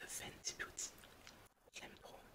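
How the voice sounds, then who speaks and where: Whispering very slowly, a woman can be heard over noticeable background noise. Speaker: ASMR content creator. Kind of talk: casual ASMR talk to camera, makeup tutorial. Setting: studio microphone. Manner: whispered, soft-spoken.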